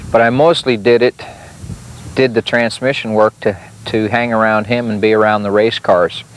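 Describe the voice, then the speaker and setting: A man with an American accent speaks at a moderate pace in a medium pitch, his intonation fairly even, with noticeable background noise behind him. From South Dakota, Sioux Falls. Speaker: retired sprint car racer. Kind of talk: interview storytelling. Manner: hesitant, many fillers.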